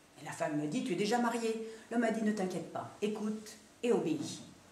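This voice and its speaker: A woman at a medium pitch and moderate pace, over noticeable background noise. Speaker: storyteller. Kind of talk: live storytelling performance. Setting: stage.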